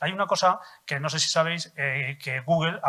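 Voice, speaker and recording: The man's voice has a bright, sharp tone. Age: 70s. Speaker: audience member. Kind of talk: audience comment.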